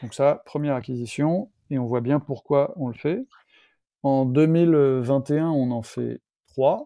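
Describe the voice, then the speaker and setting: At a very slow pace, a man talks with fairly high pitch and ordinary pitch variation. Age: 50s. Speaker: entrepreneur, founder of a renovation company. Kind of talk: interview.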